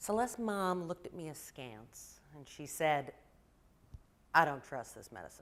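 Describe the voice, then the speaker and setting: Her pitch very deep and low, a woman talks at a moderate pace with lively intonation. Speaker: primary care pediatrician. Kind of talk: presentation talk. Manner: loud.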